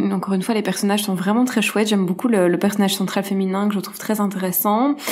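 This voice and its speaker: A woman's fairly high-pitched voice. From Belgium. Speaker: screenwriter. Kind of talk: casual discussion. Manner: halting, many hesitations.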